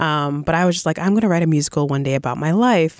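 With an American accent, a woman speaks at a very fast pace in a very deep, low pitch with ordinary variation. The recording is very clean, with a silent background. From Boston. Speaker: playwright and composer. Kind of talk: interview. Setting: studio.

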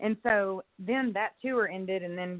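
A woman with a Texan accent talks at a medium pitch. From East Texas (Longview). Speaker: country singer. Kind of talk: casual interview chat.

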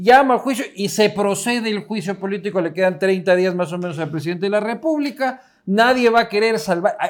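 Here a man talks fairly quickly in an animated tone. His pitch is high, with ordinary variation. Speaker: political podcast co-host. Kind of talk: casual political banter.

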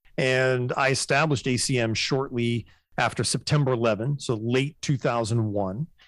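A man with an ordinary speaking voice talks at a moderate pace and medium pitch, keeping fairly even intonation and very even loudness. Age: 50s. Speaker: media production company founder. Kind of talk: interview.

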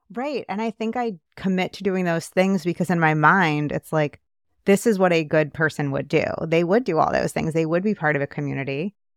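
The sound is dry and close with no echo, on a very clean recording with a silent background. A woman speaks in a normal speaking voice, fairly low in pitch with ordinary pitch variation, at a fairly quick pace. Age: 20s. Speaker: podcast co-host. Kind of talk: casual chat.

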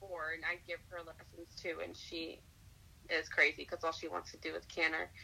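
A woman with an unremarkable speaking voice talks at a moderate pace with a fairly low pitch. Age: 20s. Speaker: equestrian working student. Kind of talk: casual interview.

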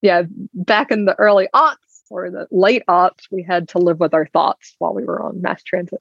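A woman with an American accent speaks at a moderate pace and a medium pitch. Her intonation is lively, with vocal fry. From US South, Alabama. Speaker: insurance executive. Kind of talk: interview conversation.

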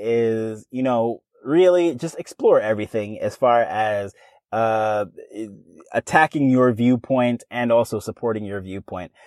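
Speaking at a medium pitch with ordinary pitch variation, a man keeps a fairly slow pace. The recording is very clean, with a silent background. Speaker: podcast host. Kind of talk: solo podcast talk, conversational. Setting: in a vehicle, mobile recording setup. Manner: conversational, off the cuff, with many filler words.

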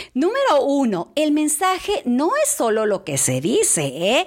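Animated in tone, a woman speaks fairly slowly in a high pitch with very wide pitch swings, against noticeable background noise. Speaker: church devotional speaker. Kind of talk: devotional talk.

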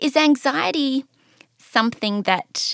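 A woman speaks with a bright, sharp tone and ordinary pitch variation. The sound is dry and close, with no echo. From Australia. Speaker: podcast host. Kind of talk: interview.

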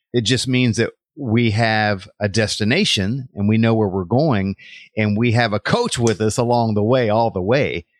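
A man speaks at a moderate pace in a plain, everyday voice of medium pitch, his intonation fairly even and his loudness very even. The sound is dry and close with no echo, over a quiet background. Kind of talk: interview with devotional tone.

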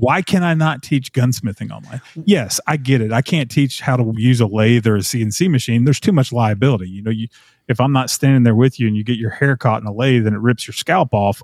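A man in a Tennessee accent talks fairly quickly at a medium pitch, with ordinary pitch variation. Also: dry, close sound with no echo. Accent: Southern US (Tennessee). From Middle Tennessee, US South. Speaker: gunsmithing teacher and former TV host. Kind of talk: casual interview chat.

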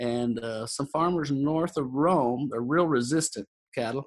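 Against a quiet background, a man with a Texan accent talks at a moderate pace in a fairly high pitch. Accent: Texan American. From Texas panhandle, near Amarillo. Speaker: cowboy and roping event organizer. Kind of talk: interview.

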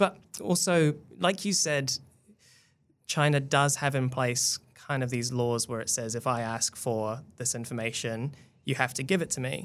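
A man with a New Zealand accent talks at a fairly slow pace and a medium pitch with ordinary pitch variation, on a very clean recording with a silent background. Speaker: tech reporter. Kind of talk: casual chat.

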